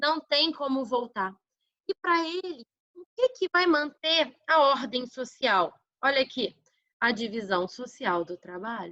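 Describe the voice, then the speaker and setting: A woman with a raised, projected voice speaks at a fairly slow pace in a high pitch, her tone warm yet bright and sharp, with very wide pitch swings, big swings in loudness, and a dry, close sound with no echo. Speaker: schoolteacher. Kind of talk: online lesson (remote class review). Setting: recording from home. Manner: warm, informal.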